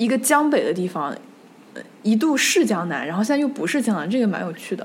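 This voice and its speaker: A woman's fairly high voice with very wide pitch swings, plus audible room echo. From Nanjing, Jiangsu, China. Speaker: history podcast host. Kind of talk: casual discussion.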